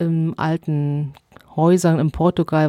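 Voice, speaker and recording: A woman's very deep, low voice in a dry, close sound with no echo. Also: very clean recording, silent background. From Allgäu, Bavaria. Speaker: long-distance barefoot hiker. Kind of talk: interview.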